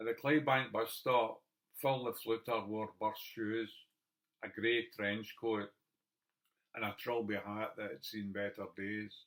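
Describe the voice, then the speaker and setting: Speaking with a Scottish accent, a man keeps a fairly low pitch and fairly even intonation. His pace is fairly slow. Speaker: poet. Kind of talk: poetry reading.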